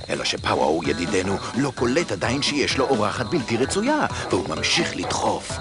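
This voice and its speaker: A man's voice, dry with no echo, over clear music in the background. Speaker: narrator. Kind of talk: cartoon narration. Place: studio. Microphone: studio mic.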